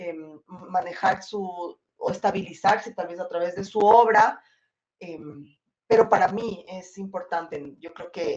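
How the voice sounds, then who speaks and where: A woman's medium-pitched voice at a very slow pace, with ordinary pitch variation and big swings in loudness. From Ecuador. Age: 40s. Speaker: film director. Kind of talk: interview.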